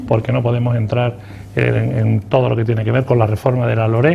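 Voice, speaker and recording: Over noticeable background noise, a man talks at a very fast pace with a medium pitch. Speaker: politician, party spokesman. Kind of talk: TV interview answer.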